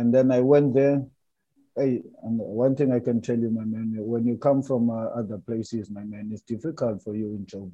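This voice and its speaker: Fairly even intonation from a man with a South African accent. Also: medium pitch for a man, moderate pace, big swings in loudness. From South Africa, Cape Town. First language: Xhosa. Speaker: retired footballer. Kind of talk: casual interview. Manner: halting.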